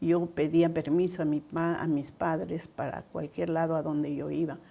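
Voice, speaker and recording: Her fairly low voice carries vocal fry and a dark, mellow tone, and the woman speaks at a fairly slow pace. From Peru, Trujillo (La Libertad). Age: 70s. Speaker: pastor's wife. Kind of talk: testimony.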